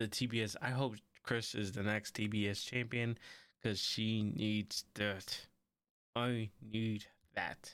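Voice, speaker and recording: A quiet man's voice, fairly low in pitch, monotone and flat, very slow with long, frequent pauses and very even loudness, in a very clean recording with a silent background. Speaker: wrestling podcast host. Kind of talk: solo podcast review. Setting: home recording with camera and mic. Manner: quiet, subdued; casual, rambling.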